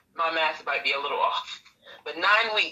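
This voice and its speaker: A woman's fairly low, bright, sharp voice with an American accent and ordinary pitch variation. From Brooklyn, New York. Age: 30s. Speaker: motivational YouTuber. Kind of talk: casual interview.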